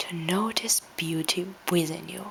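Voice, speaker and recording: Over noticeable background noise, a woman with a non-native accent speaks with ordinary pitch variation. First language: not English. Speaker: vlogger. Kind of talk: reading aloud with spontaneous asides.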